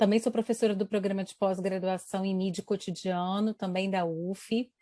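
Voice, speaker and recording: Dry and close with no echo, a woman's medium-pitched voice has a dark, mellow tone, fairly even intonation and a moderate pace. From Brazil, Espírito Santo. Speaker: university professor. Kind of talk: interview.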